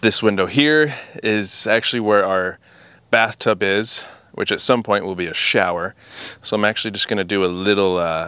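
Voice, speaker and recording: A fairly low-pitched man at a moderate pace, bright and sharp in tone, with ordinary pitch variation, a dry sound with no echo and a quiet background. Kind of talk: casual vlog chat. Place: garden. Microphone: phone near.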